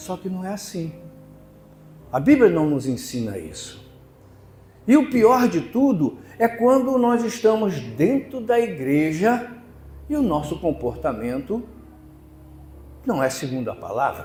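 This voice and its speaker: A man with a high voice speaks at a fairly slow pace, with long, frequent pauses, very wide pitch swings, big swings in loudness and audible room echo. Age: 70s. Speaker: preacher. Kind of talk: sermon.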